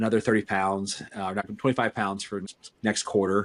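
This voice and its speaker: At a fairly quick pace, a man speaks in a fairly low voice with fairly even intonation. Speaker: podcast co-host, company CEO. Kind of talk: casual podcast conversation. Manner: fast.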